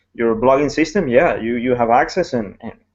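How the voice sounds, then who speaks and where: A man talks at a fairly quick pace. He speaks with a Spanish accent. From Ecuador. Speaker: network marketing blogger. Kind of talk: casual chat. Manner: halting.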